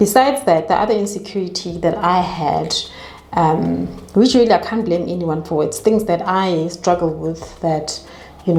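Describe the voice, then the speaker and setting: With noticeable background noise and audible room echo, a woman speaks at a fairly slow pace in a fairly low pitch with ordinary pitch variation. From South Africa. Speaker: YouTuber. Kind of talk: casual chat. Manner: swallows words.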